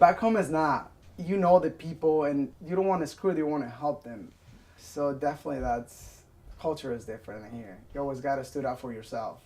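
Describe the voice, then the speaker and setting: This man has a fairly high pitch. He speaks with a non-native accent. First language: Spanish. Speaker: restaurant worker. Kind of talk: interview testimony.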